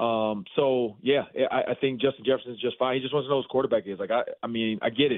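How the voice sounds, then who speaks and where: A man with a medium pitch, talking at a very fast pace with fairly even intonation. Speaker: sports media host, former football player. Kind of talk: sports radio interview.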